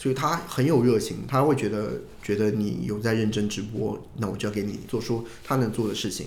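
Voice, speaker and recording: A man's fairly low voice with ordinary pitch variation and audible room echo. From Hunan, China. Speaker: livestreamer. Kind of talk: casual chat.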